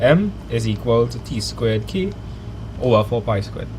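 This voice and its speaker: A man's speech carries audible room echo, with noticeable background noise present. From Trinidad. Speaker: maths teacher streamer. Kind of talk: live online maths lesson. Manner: animated.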